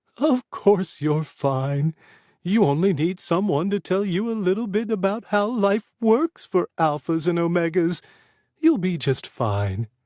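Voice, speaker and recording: In a put-on character voice, a man speaks at a fairly slow pace with a high pitch and lively intonation, the sound dry and close with no echo. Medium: read story. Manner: chatty, impish.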